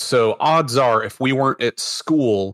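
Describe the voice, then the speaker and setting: On a very clean recording with a silent background and a dry, close sound with no echo, a man in a normal speaking voice talks at a fairly slow pace with ordinary pitch variation. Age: 30s. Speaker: game master, former Marine. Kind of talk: interview. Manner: casual, filler-heavy.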